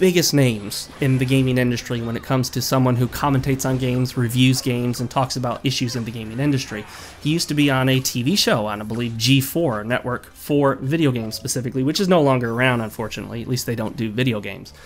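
A man speaks at a very fast pace with hardly any pauses, over noticeable background noise. His medium pitch shows ordinary pitch variation. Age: adult, college graduate. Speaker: gaming YouTuber. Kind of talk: video commentary monologue.

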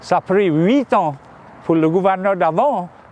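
Over light background noise, a man with a Louisiana accent speaks at a fairly slow pace. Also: dry sound with no echo. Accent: Louisiana Cajun French. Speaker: state official and former fire chief. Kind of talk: interview. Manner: halting, many repetitions and hesitations. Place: open country.

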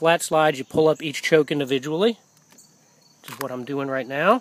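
At a fairly quick pace, a man talks in a fairly high pitch with ordinary pitch variation.

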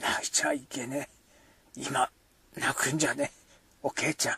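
In a put-on character voice, the speaker sounds strained and raspy at a moderate pace. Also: man, fairly high pitch for a man. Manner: through clenched teeth, strained.

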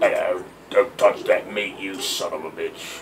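A man puts on a gruff character voice at a moderate pace, with clear background noise.

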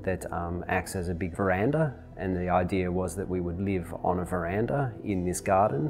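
Clear music plays behind a man whose voice has a very deep, low pitch. He speaks at a moderate pace with ordinary pitch variation. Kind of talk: interview answer. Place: home room.

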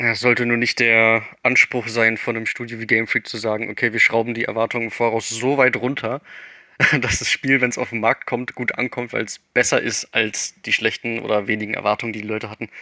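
A bright, sharp tone in monotone, flat intonation at a fairly quick pace, with dry, close sound and no echo. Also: man, medium pitch for a man. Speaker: podcast guest, gaming fan. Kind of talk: casual chat. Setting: voice chat on Discord. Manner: stumbling over words.

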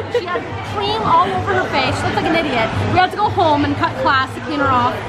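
A woman talking at a very fast pace over loud background music. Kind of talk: casual story telling. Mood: joking, laughing. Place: bar. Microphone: phone near.

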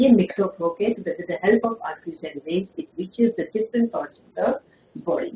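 At a moderate pace, a woman talks at a fairly high pitch with very wide pitch swings and big swings in loudness, with audible room echo and light background noise. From India. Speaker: school lecturer. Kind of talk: lecture. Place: office. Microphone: webcam.

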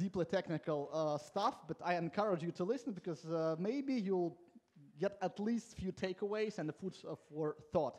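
Speaking at a fairly quick pace, a man uses a high-pitched voice. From Latvia. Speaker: conference speaker, software coach. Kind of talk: conference talk. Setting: stage with audience. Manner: informal, humorous, self-deprecating. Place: hall. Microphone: headset.

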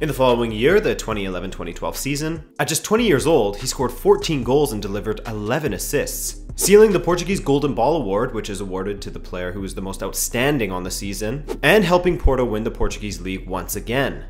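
A man talks at a fairly quick pace with hardly any pauses. Music plays behind him, and his loudness swings widely. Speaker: football channel host. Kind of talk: documentary narration. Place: studio. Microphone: studio mic.

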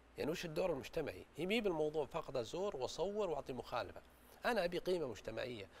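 A man is speaking. His delivery is fairly quick. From Saudi Arabia. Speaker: business growth consultant; guest. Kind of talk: studio talk show interview. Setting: studio. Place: studio. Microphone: lapel.

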